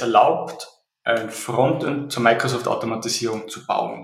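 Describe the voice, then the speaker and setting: Against audible room echo, a man speaks at a very slow pace. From Austria. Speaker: software company CEO. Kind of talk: interview. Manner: hesitant, many fillers and repetitions.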